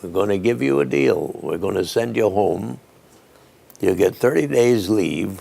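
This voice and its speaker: Very wide pitch swings in a man's fairly slow speech. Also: fairly low pitch for a man. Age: 80s+. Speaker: war veteran. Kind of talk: interview answer.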